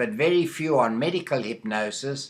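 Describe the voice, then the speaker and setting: A very slow pace with lively intonation and a bright, sharp tone. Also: man. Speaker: medical hypnotherapist. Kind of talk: video monologue. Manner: halting, with fillers.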